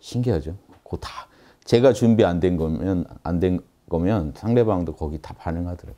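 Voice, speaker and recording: With a dark, mellow tone, this voice moves at a moderate pace with ordinary pitch variation and big swings in loudness over a quiet background. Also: man, very deep, low pitch for a man. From South Korea. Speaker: meditation and philosophy teacher; lecturer on spiritual practice. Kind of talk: lecture. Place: classroom.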